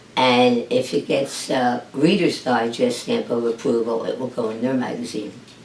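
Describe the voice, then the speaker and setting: Noticeable noise sits in the background. The delivery keeps a moderate pace. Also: woman. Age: 70s. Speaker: author. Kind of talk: interview. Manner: hesitant, many fillers.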